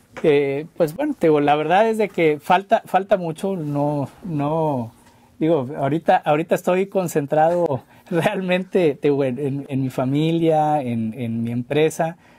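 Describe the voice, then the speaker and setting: Speaking very slowly, a man with a fairly high pitch has a dark, mellow tone and ordinary pitch variation. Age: 40s. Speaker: former mayor. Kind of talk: interview. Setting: studio. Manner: halting, many repetitions. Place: studio. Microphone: studio mic.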